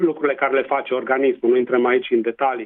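This is a man speaking. He has a Transylvanian accent. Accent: Transylvanian Romanian. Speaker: public health doctor. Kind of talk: interview. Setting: radio interview.

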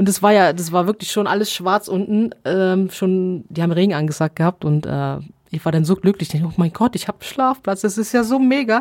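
A woman talks in a plain, everyday voice at a fairly quick pace, the sound dry and close with no echo. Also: medium pitch for a woman, ordinary pitch variation. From Allgäu, Bavaria. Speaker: long-distance barefoot hiker. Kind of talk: interview.

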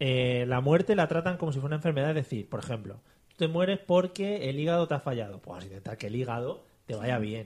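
His tone is animated and his pitch fairly high. This man's voice moves in very wide pitch swings. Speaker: podcast host. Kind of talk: casual comedy chat; mock news reading.

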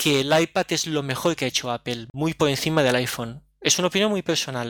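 A man talks at a fairly quick pace in a plain, everyday voice, with ordinary pitch variation and a dry, close sound with no echo. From Oliva, Valencia region, Spain. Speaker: tech podcaster. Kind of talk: casual chat.

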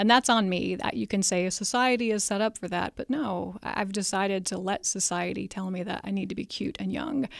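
Vocal fry runs through this woman's speech. She talks at a fairly quick pace with ordinary pitch variation. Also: medium pitch for a woman, hardly any pauses. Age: 40s. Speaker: author. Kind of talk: interview. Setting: studio.

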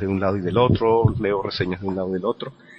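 The speaker has a strong Venezuelan accent. The intonation is fairly even. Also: man. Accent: Venezuelan, still strong. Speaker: podcaster. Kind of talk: casual chat.

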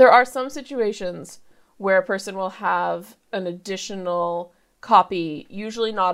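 Using a normal speaking voice, a woman talks at a moderate pace with lively intonation, captured on a very clean recording with a silent background. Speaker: bioinformatician. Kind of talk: casual interview.

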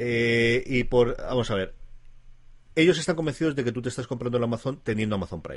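This man's speech has lively intonation. He keeps a moderate pace. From Alicante, Spain. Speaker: tech podcast co-host. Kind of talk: casual chat.

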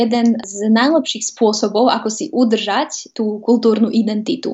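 A woman with an unremarkable speaking voice, fairly high in pitch, at a fairly slow pace. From Vojvodina, Serbia (Novi Sad). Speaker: TV presenter and journalist. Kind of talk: interview.

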